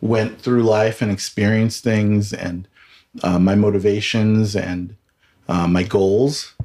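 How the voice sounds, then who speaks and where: Speaking at a fairly slow pace in a Californian accent, the man keeps a monotone, flat intonation at a fairly low pitch. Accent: Californian American English. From Southern California, Filipino American. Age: 30s. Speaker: communications and PR professional. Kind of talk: personal testimony in casual chat. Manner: halting, frequent repetitions.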